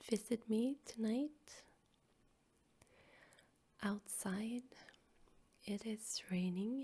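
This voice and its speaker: This soft-spoken voice carries a relaxed tone and moves at a very slow pace. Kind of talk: ASMR soft-spoken storytelling and rambling for sleep. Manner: soft-spoken, relaxed.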